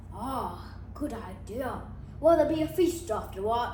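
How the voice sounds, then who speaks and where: A woman's put-on character voice at a fairly slow pace, with a slight echo. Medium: read story. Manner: mild, unhurried.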